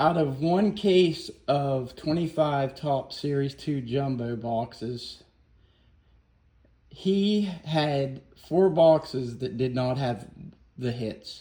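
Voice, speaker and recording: In an American accent, a man mumbles at a very slow pace, his fairly high-pitched voice somewhat breathy and dark and mellow in tone, with ordinary pitch variation. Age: 50s. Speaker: YouTuber, car restorer and card collector. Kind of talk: casual rant to camera. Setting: garage. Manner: mumbling.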